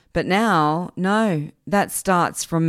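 The speaker is a woman. Her tone is animated. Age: 40s. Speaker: podcast host, gut health and anxiety coach. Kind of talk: solo podcast monologue. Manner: animated, conversational.

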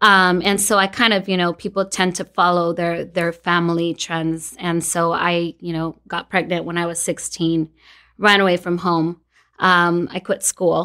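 Recorded very cleanly against a silent background, a woman with an American accent speaks at a fairly low pitch and fairly slow pace in monotone, flat intonation. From Los Angeles, California. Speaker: insurance agency owner. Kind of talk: interview.

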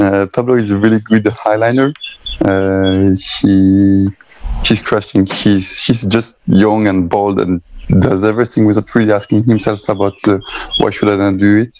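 A man's fairly low voice at a fairly slow pace, monotone and flat, with music in the background. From France, Strasbourg. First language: French. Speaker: slackline athlete. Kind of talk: interview. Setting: video call.

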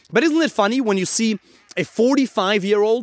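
A man's voice, dry and close with no echo, in a very clean recording against a silent background. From Germany. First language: German. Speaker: dating coach. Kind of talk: motivational monologue.

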